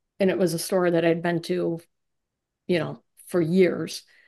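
A woman with an American accent speaks fairly slowly. Her fairly low voice stays monotone and flat. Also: quiet background. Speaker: interviewee, marketing executive and skier. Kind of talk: casual interview conversation.

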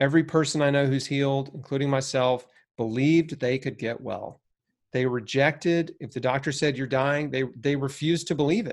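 A man with a plain, everyday voice, fairly high pitch, fairly even intonation and a fairly quick pace, on a very clean recording with a silent background. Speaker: cancer survivor and health author. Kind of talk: interview.

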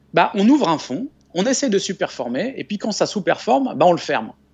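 This man's voice sits at a high pitch. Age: 40s. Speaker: investment author and business school lecturer. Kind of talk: interview. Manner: calm; halting, frequent repetitions.

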